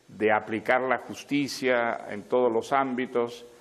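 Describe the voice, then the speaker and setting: A man speaks at a very slow pace with a medium pitch. His intonation is monotone and flat. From Arequipa, Peru. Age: 70s. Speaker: writer. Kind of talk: interview answer.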